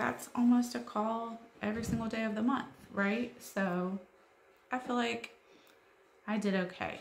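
A woman is speaking with audible room echo. Light background noise can be heard. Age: 40s. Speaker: YouTuber, homeschool mom; YouTuber. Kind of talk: vlog monologue. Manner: casual, hesitant with fillers. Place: home room. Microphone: phone near.

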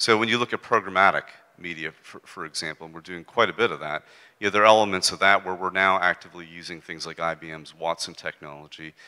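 Over a quiet background, a man speaks at a fairly quick pace with a very deep, low pitch and ordinary pitch variation. His tone is bright and sharp, and his loudness swings widely. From United States. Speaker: advertising executive; speaker. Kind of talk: on-stage interview. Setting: stage with audience. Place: stage. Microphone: handheld.

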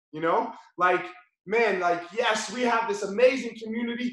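A man speaks at an extremely high pitch with ordinary pitch variation and a moderate pace. The room echo is audible, though the background is quiet. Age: 40s. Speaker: jiu-jitsu instructor. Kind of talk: tutorial; live online class instruction and motivational talk. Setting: video call. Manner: animated. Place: gym. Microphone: video call.

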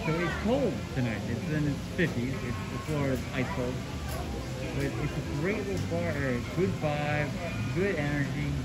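Loud music plays in the background while the speech moves at a moderate pace, broken by long, frequent pauses. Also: man. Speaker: travel vlogger. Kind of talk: casual vlog chat. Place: bar. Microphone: phone near.

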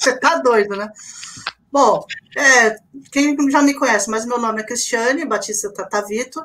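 Pausing long and often, a woman speaks at a high pitch with ordinary pitch variation. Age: 50s. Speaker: miniature figure painter, civil engineer. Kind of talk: live stream interview.

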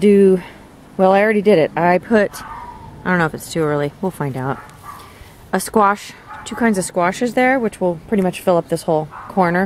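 Recorded dry with no echo and light background noise, a woman speaks at a moderate pace with ordinary pitch variation. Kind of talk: casual vlog chat. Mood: relaxed, amused. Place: garden.

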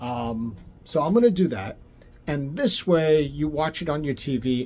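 Somewhat breathy male speech at a fairly slow pace. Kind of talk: casual explainer to camera. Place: home room. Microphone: phone near.

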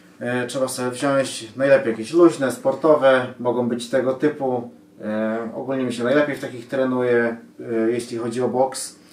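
Monotone, flat delivery from a man at a moderate pace, with audible room echo. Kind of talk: tutorial. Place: home room. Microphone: camera far.

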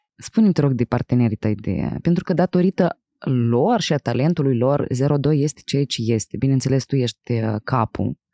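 Very deep and low, a woman's dark, mellow voice moves with lively intonation at a very even loudness. The sound is dry with no echo and the background is quiet. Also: moderate pace. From Moldova, Chișinău; Moldova. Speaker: podcast host and actress; podcast host. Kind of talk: casual interview. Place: studio. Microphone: studio mic.

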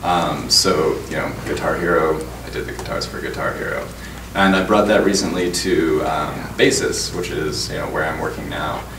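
A man at a moderate pace, amid noticeable background noise. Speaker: tech company director. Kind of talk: panel discussion. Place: stage.

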